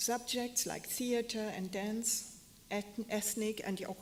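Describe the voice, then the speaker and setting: This woman speaks with a German accent. Her pitch sits in the medium range. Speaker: fashion historian and curator. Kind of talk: lecture. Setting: stage with audience. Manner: halting. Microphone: echo, hearing herself twice.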